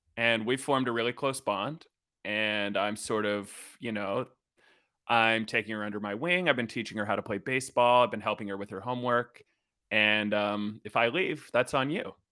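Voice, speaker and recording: Very clean and free of background sound, the recording captures a man with a bright, sharp tone. He speaks at a medium pitch and a moderate pace, with ordinary pitch variation. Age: 30s. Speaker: comedian. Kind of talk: casual chat.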